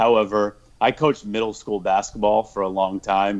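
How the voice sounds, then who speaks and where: A man with a plain, everyday voice speaks at a fairly low pitch and moderate pace. The background is quiet. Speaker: football podcaster and Twitter personality. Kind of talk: casual football discussion. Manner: joking, playful.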